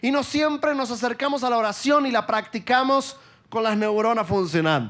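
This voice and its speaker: This man has a high pitch and an Argentine accent, with ordinary pitch variation at a moderate pace. The recording is very clean with a silent background. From Argentina. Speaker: preacher. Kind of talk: sermon.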